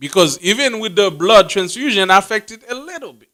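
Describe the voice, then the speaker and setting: Speaking very fast in a Haitian accent, a man has a high-pitched, bright, sharp tone and lively intonation. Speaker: religious teacher. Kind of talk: bible class teaching.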